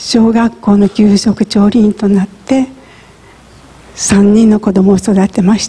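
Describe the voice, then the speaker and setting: The pace is very slow. It is a woman speaking. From Japan, Hiroshima; Japan. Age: 70s. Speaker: atomic bomb survivor. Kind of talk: testimony. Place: church.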